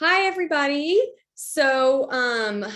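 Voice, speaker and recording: Raising and projecting her voice, a woman speaks at a high pitch in a bright, sharp tone with lively intonation. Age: 30s. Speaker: patient advocate. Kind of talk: casual chat.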